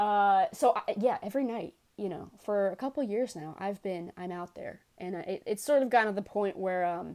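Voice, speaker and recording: A woman with a New York accent, at a moderate pace and with ordinary pitch variation. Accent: New York (Bronx), noticeable. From New York City, Bronx. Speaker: expert guest on New York. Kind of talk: casual interview chat. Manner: rambling, hesitant, humorous.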